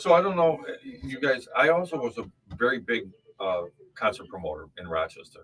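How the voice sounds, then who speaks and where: A man speaks at a moderate pace, with big swings in loudness. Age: 60s. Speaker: children's book author. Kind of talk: casual chat. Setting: studio.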